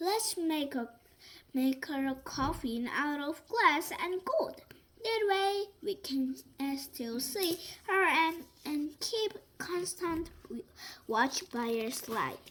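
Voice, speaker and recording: A woman speaks in a put-on character voice with a high pitch. Her pace is very slow. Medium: read story. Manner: gentle.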